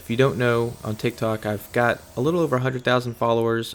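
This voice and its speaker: Fairly quick, monotone speech from a man with a medium pitch, on a very clean recording with a silent background. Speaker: detailing business owner and video creator. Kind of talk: voiceover monologue over footage. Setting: voiceover recorded over footage. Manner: rambling, casual, with fillers and repeats.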